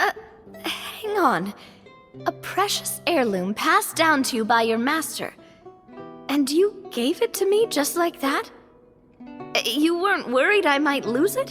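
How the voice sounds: A woman does a put-on character voice, high-pitched and fairly bright, with big pitch swings. She speaks slowly with long, frequent pauses as faint music plays in the background.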